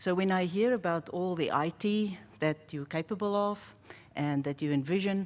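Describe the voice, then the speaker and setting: In a South African accent, a woman of medium pitch speaks at a moderate pace with ordinary pitch variation. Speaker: pharmacist. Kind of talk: panel presentation.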